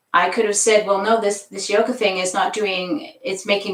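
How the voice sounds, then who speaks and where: A woman's medium-pitched, unremarkable speaking voice at a moderate pace. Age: 60s. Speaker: yoga instructor. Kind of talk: live-streamed yoga class talk. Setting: live stream on camera. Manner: casual, conversational.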